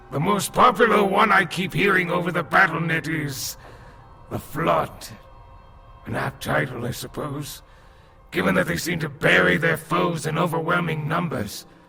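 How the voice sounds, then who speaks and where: Using a put-on character voice, a man talks at a fairly high pitch. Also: moderate pace. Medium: audio drama. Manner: measured, explanatory.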